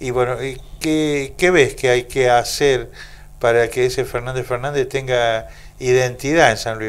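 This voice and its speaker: This man has an ordinary speaking voice at medium pitch. He talks at a fairly slow pace with ordinary pitch variation. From Argentina. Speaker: radio host. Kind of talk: radio interview. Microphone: handheld.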